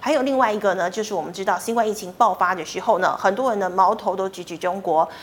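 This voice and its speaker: A woman of medium pitch at a very fast pace with hardly any pauses, ordinary pitch variation, and noticeable background noise. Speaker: financial news show host. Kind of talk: news reading.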